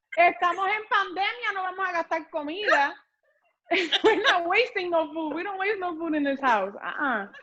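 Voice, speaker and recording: A woman's raised, projected voice in a Puerto Rican accent, extremely high-pitched and animated in tone, with lively intonation at a moderate pace. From Puerto Rico. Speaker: home cook on social media. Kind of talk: casual chat. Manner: loud.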